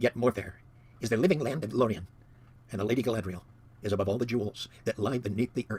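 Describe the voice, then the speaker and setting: A man speaks in a put-on character voice at a medium pitch, going at a very fast pace broken by long, frequent pauses. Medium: read story. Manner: low and grave.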